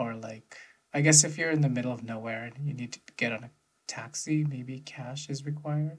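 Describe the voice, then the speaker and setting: A man's voice comes across as somewhat breathy, moving at a moderate pace with intonation that stays fairly even. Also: medium pitch for a man. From United States. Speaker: podcast co-host. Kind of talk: casual chat.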